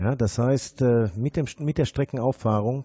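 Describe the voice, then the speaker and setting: Against a quiet background, a man speaks very slowly in a somewhat breathy voice with a dark, mellow tone, the sound dry and close with no echo. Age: 50s. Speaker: former miner and mine rescue member. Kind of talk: interview. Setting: office in a former mine.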